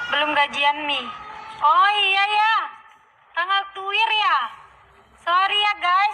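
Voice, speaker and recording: A woman with an extremely high voice speaks very slowly in a raised, projected voice, with long, frequent pauses, very even loudness and ordinary pitch variation. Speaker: singer and vlogger. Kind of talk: casual chat.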